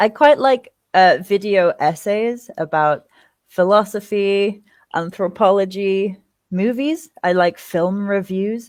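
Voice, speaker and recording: A woman with an English accent, medium in pitch with ordinary variation, very slow, on a very clean recording with a silent background. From England. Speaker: interviewee, former teacher. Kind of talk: casual interview.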